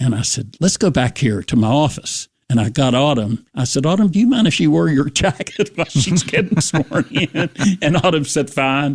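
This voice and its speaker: A man with an American accent talks at a fairly high pitch, his voice somewhat breathy and swinging very widely in pitch. The sound is dry and close, with no echo. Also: moderate pace, very even loudness. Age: 70s. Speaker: former mayor. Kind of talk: radio interview. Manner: halting.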